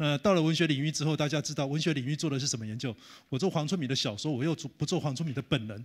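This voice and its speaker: Against a quiet background, a man talks at a very fast pace with a fairly high pitch and ordinary pitch variation. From Taiwan. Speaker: professor. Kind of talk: lecture. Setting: conference hall with audience. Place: hall. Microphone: handheld.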